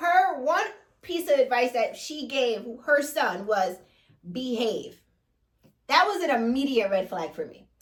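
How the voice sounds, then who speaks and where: A woman with a Jamaican accent talks at a high pitch and a fairly slow pace. Her pitch swings very widely, and she leaves long, frequent pauses. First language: Jamaican Patois. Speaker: reality TV recap co-host. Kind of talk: casual chat recapping a TV episode.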